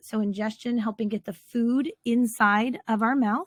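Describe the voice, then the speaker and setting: A woman with a fairly high pitch and a somewhat breathy voice speaks at a moderate pace with fairly even intonation, in a dry, close sound with no echo and a very clean recording with a silent background. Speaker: teacher. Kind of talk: lecture.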